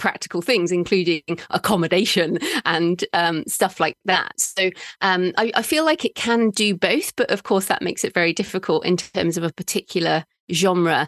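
Against a quiet background, a speaker with an English accent talks at a moderate pace with very even loudness. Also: woman, dry, close sound with no echo. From England. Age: middle-aged. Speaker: author and podcaster. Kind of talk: interview conversation.

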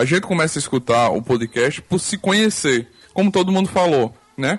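Using a plain, everyday voice, a man speaks fairly slowly at a fairly high pitch with lively intonation. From Arapiraca, Alagoas, Brazil. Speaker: podcaster. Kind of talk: casual chat. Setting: online group call.

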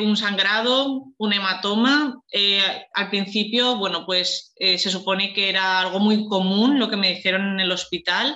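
This woman talks at a fairly slow pace with hardly any pauses, her loudness very even. Her pitch sits in the medium range, with ordinary variation. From Spain, Valencia. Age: 30s. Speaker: fertility patient sharing her story. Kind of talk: testimony.

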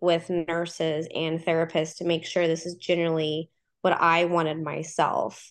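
Speaking in an American accent at a fairly slow pace, a woman has a fairly low pitch and an ordinary speaking voice. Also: quiet background. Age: 30s. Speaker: nurse and mom. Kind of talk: personal storytelling in interview.

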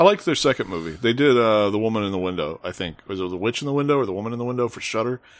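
Lively intonation marks this man's medium-pitched delivery at a very fast pace with hardly any pauses. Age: 40s. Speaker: film critic. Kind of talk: casual chat.

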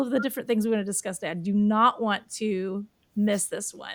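The background is completely silent. A woman talks in a very clean recording. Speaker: podcast host. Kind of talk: casual interview chat. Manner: animated, enthusiastic.

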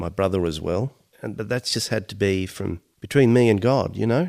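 At a moderate pace, a man with an Australian accent speaks at a fairly low pitch with ordinary pitch variation. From Australia, Mediterranean family. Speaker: podcast co-host. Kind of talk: casual chat.

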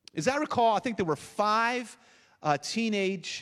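A man at a very slow pace with lively intonation, in a very clean recording with a silent background. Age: 50s. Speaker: pastor. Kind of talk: sermon. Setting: church.

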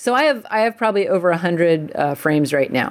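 A woman speaks with an American accent. Her pace is very fast. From US, suburbs of Washington DC. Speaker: painter. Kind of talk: casual chat.

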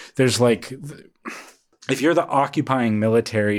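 The recording is very clean, with a silent background. A man talks in a plain, everyday voice at a medium pitch with ordinary variation. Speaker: podcast co-host. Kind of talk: comedy podcast banter with sketch bits.

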